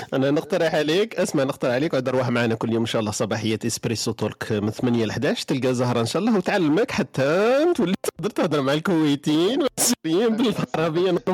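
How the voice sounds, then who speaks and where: With an Algerian accent, a man speaks at a very fast pace with hardly any pauses, his fairly high pitch making very wide swings while his loudness stays very even, in a dry, close sound with no echo. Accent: Algerian Arabic with French code-switching. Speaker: online radio host. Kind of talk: live call-in talk show. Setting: live online studio broadcast.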